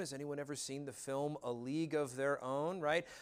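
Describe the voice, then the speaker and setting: A man speaks with an American accent. The recording is very clean with a silent background. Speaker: history professor. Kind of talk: lecture. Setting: campus classroom with audience. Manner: halting.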